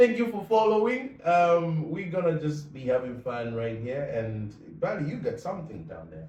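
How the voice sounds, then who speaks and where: A man with a fairly high pitch speaks at a moderate pace, with hardly any pauses, very wide pitch swings and big swings in loudness. Audible room echo and noticeable background noise fill the recording. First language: non-English language. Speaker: podcast co-host. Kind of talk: casual chat.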